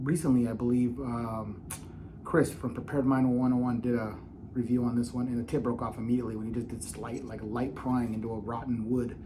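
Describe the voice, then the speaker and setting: Audible room echo surrounds a man talking at a fairly quick pace with a medium pitch. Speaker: knife reviewer. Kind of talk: product review. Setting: at home.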